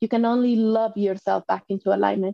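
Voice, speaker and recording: A woman's fairly high voice has a dark, mellow tone and a moderate pace, with dry, close sound, no echo and a quiet background. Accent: Spanish. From Mexico. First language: Spanish. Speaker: life coach and author. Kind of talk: casual interview.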